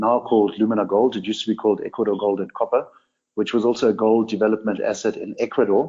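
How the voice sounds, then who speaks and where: A man's fairly low voice at a very fast pace, monotone and flat in intonation. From Namibia, German parents. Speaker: mining executive. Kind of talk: interview. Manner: hesitant, many fillers.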